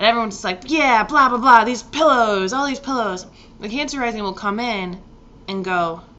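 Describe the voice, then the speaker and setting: A woman speaks at a fairly quick pace in a fairly high pitch with ordinary pitch variation, and audible room echo surrounds her voice. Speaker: astrologer. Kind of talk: casual vlog talk about astrology. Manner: casual, rambling delivery.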